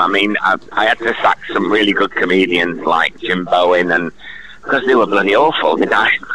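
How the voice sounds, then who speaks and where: Against noticeable background noise, a man talks at a fairly quick pace and fairly low pitch, with ordinary pitch variation and very even loudness. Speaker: entertainer. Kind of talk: interview. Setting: phone call. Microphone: bad signal, echo.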